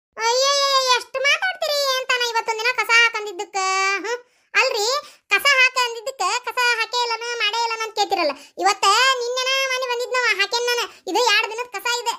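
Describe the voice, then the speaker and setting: Performing a cartoonish character voice, a woman talks at an extremely high pitch and moderate pace with fairly even intonation. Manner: chatty, fast.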